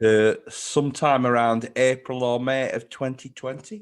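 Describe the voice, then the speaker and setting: A man speaks at a fairly slow pace in a plain, everyday voice, his pitch medium and his intonation fairly even. The recording is very clean, with a silent background. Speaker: newspaper writer. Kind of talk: casual podcast chat.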